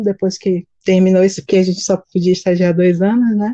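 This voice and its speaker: A woman's dark, mellow tone, dry and close with no echo. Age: 30s. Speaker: teacher. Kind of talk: casual chat. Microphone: poor audio quality.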